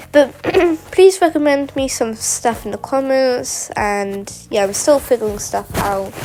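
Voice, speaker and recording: At a fairly slow pace, a woman with a high pitch speaks with lively intonation over noticeable background noise. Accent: British. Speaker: mapping video creator. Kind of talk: casual map narration. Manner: loud, shouting; halting.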